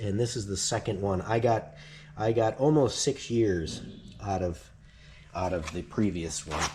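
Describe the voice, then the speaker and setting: A somewhat breathy man with an American accent and a dark, mellow tone. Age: 60s. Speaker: DIY motorcycle vlogger. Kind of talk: tutorial. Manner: casual, halting with fillers.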